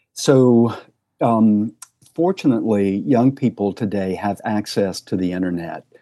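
In an American accent, a man with a dark, mellow tone and fairly low pitch talks at a fairly slow pace with ordinary pitch variation. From US South, rural Tennessee. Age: 60s. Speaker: psychotherapist and sex therapist. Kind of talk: podcast interview.

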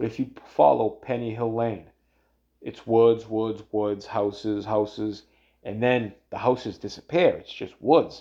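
A man with a Boston accent speaks at a fairly slow pace in a dark, mellow tone of medium pitch. His loudness swings widely against a quiet background. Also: ordinary pitch variation. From Boston area, Massachusetts (Everett). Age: 30s. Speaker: solo podcast host. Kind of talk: casual monologue. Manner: halting, many fillers and restarts.

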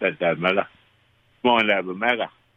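A man talks with an Australian accent and ordinary pitch variation. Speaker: local fishing reporter. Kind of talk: casual chat.

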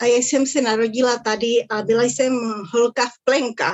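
At a moderate pace, a woman with a slight Spanish accent speaks in a fairly high pitch. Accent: rusty non-native Czech, Spanish tinge. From Czechoslovakia (Ostrava), Uruguayan family. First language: Spanish (speaking Czech). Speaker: interviewee, emigrant. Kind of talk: interview. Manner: halting.

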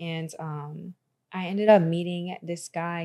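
A woman's dark, mellow tone at a fairly low pitch, on a very clean recording with a silent background. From Florida. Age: 20s. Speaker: speech pathologist and model. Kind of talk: casual interview.

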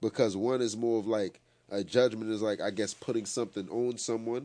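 A man speaks with an American accent at a moderate pace, his pitch fairly low. His tone is dark and mellow, and his intonation stays fairly even. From New York. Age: 20s. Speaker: battle rapper. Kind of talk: casual interview.

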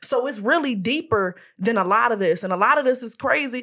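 A woman projects her raised voice in a bright, sharp tone. Her intonation is lively. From Chicago South Side. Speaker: media personality and publicist. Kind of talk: casual chat.

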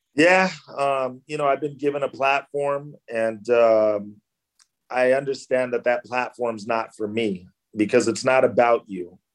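With a Californian accent, a man talks at a fairly slow pace. His pitch is medium. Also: ordinary pitch variation. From Southern California, Orange County and LA. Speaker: actor. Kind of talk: interview. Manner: casual, many fillers.

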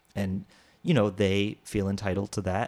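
A man with a fairly low pitch uses a normal speaking voice and keeps a moderate pace. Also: very clean recording, silent background. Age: 30s. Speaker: singer and actor. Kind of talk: casual chat.

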